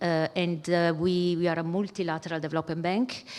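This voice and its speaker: A woman speaks with an Italian accent at a fairly low pitch. Noticeable background noise is present. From Italy. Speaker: bank executive. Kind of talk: keynote speech. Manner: hesitant, many fillers.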